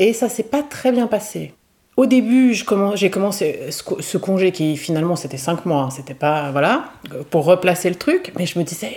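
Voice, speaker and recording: A woman's medium-pitched voice with lively intonation at a fairly slow pace. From Switzerland. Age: 40s. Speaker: novelist and art teacher. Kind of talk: casual interview. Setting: over coffee. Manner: hesitant, many fillers.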